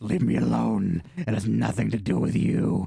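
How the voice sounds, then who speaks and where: A raspy, put-on character voice from a man, very deep and low, with very wide pitch swings at a moderate pace. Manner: eerie, unsettling.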